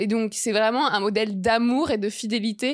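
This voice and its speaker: Recorded very cleanly over a silent background, a woman speaks at a fairly high pitch with fairly even intonation. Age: 20s. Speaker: journalist and feminist activist. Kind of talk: casual interview.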